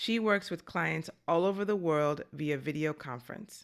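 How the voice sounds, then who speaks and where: Here is an unremarkable speaking voice in an American accent, at a moderate pace with ordinary pitch variation. The recording is very clean, with a silent background. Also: woman. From New York. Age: 40s. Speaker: podcast host. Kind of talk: scripted narration; casual chat.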